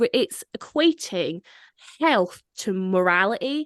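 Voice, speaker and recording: A woman with a slight Scottish accent, animated in tone with very wide pitch swings, in a dry, close sound with no echo and a quiet background. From Scotland. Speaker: podcast host. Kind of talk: casual chat.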